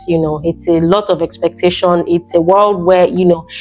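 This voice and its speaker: With noticeable background noise, a woman in a Nigerian accent talks at a fairly low pitch with ordinary pitch variation. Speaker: YouTuber. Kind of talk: motivational vlog talk. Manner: halting, repetitive.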